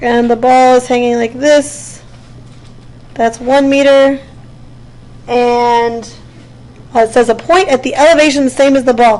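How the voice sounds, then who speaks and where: With noticeable background noise behind her, a woman speaks in a high pitch with long, frequent pauses. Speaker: physics teacher. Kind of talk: classroom lecture. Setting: classroom. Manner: fast; animated.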